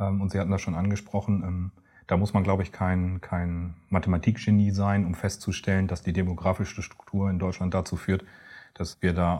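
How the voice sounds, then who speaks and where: A man's very deep, low voice, flat and monotone, at a fairly quick pace on a very clean recording with a silent background. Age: 40s. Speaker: pension insurance advisor. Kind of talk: interview.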